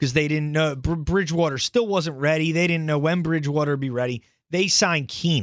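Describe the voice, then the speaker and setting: In a very clean recording with a silent background, a man speaks high-pitched with an American accent. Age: 30s. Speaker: sports podcast host. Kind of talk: solo sports commentary podcast. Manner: animated.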